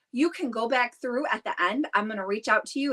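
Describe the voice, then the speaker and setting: A woman speaks at a moderate pace in an animated, raised, projected voice with a bright, sharp tone. Her pitch swings very widely, and the sound is dry and close with no echo. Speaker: direct sales consultant hosting live stream. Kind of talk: live stream chat. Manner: loud; excitable, animated.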